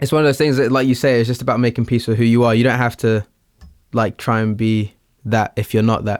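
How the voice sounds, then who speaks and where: The recording is very clean, with a silent background. A man speaks at a medium pitch with monotone, flat intonation. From southern England (Littlehampton, West Sussex), Portuguese family. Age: young. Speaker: rapper, singer and producer. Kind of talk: casual interview chat.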